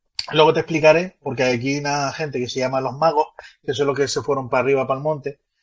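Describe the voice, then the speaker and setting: Delivered at a very fast pace in a Canarian accent, the speech is somewhat breathy, with monotone, flat intonation. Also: man, fairly high pitch for a man. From Canary Islands. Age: 30s. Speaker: guest explaining Canarian culture. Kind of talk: casual explanatory chat. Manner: hesitant, with fillers and restarts.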